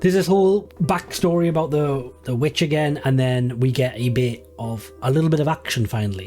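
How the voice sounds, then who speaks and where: Music plays in the background as a man speaks at a fairly quick pace. His medium-pitched voice has lively intonation. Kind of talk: casual talk to camera.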